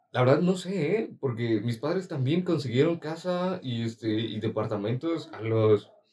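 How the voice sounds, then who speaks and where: A man talks at a fairly slow pace with lively intonation. His fairly high voice has a dark, mellow tone and is somewhat breathy. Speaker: podcast co-host and student. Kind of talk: casual chat.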